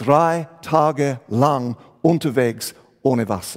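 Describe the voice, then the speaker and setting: Here is a man with an English accent. His voice sits fairly high and shows ordinary pitch variation. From England. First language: English (speaking German). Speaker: pastor. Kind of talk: sermon.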